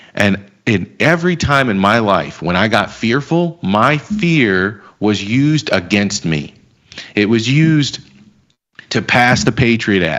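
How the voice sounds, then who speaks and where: A man with an American accent speaks very slowly at a fairly low pitch, his pitch swinging very widely while his loudness stays very even. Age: 30s. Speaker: financial market commentator. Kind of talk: casual chat. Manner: animated.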